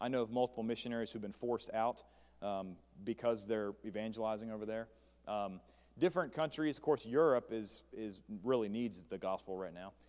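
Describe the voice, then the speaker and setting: On a very clean recording with a silent background, a man speaks at a fairly quick pace, with a medium pitch and ordinary pitch variation. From West Virginia. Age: 30s. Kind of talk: church presentation. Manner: fast.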